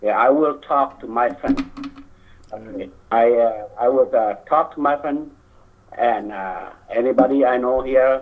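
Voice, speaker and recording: Speaking in a Lao accent, a man with a medium pitch talks at a fairly slow pace with fairly even intonation and long, frequent pauses. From Laos. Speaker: community member speaking at political event. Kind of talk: public speech. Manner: halting.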